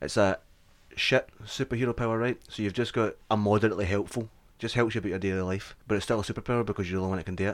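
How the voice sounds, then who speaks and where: A man with a Scottish accent speaks very fast at a fairly low pitch with fairly even intonation, in a very clean recording with a silent background. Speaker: comedy podcast host. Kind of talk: casual chat.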